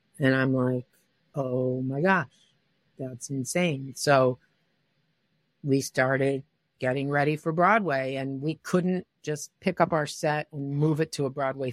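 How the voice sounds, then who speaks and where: A woman speaks in a very deep, low pitch with an American accent. The sound is dry and close, with no echo. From US Midwest, Detroit. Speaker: director and choreographer. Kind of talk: interview.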